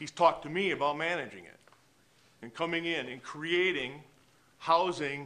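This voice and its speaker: A man with a bright, sharp tone. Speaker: citizen giving public comment. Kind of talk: public comment speech.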